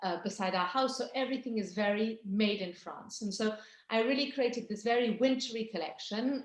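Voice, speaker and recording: Room echo is audible around this woman. Her pitch varies in an ordinary way. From England, English countryside. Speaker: fragrance brand founder. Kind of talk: product presentation on video call. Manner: animated.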